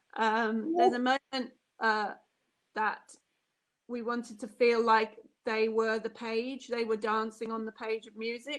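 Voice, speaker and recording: A woman with an ordinary speaking voice talks at a fairly slow pace. Her pitch is fairly high. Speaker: lighting designer. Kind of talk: online talk with Q&A.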